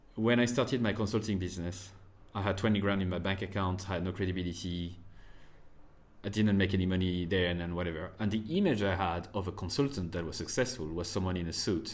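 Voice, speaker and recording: A man with a French accent speaks at a very fast pace in a very deep, low voice with fairly even intonation. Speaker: marketer and podcast host. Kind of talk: interview. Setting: remote call.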